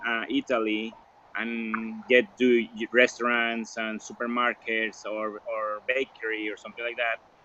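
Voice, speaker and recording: Amid noticeable background noise, a man speaks fairly slowly at medium pitch in a flat, monotone way. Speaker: interviewee. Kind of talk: interview. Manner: halting.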